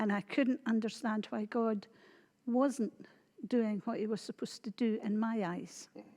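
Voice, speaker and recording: A woman speaks with a Scottish accent in a dark, mellow tone, at a fairly slow pace with fairly even intonation. The recording is very clean, with a silent background. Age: 60s. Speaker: church member. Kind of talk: testimony.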